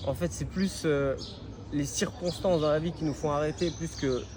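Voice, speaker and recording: The man speaks at a fairly slow pace. His pitch is fairly high. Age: 30s. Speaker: professional MMA fighter. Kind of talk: interview. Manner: hesitant, many fillers.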